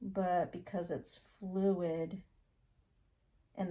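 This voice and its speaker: A woman speaks quietly and at a very slow pace, her dark, mellow tone somewhat breathy and her intonation lively. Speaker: acrylic pour artist. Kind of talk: tutorial.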